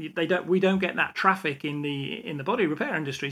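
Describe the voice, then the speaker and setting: A man's fairly high voice, bright and sharp, with an English Midlands accent, on a very clean recording with a silent background. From England, English Midlands. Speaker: automotive industry veteran and educator. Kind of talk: interview conversation.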